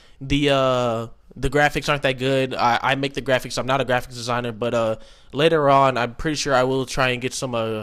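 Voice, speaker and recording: A man speaks loudly. His pitch is fairly high. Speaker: gaming let's player. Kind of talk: casual let's play intro. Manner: slight stutter.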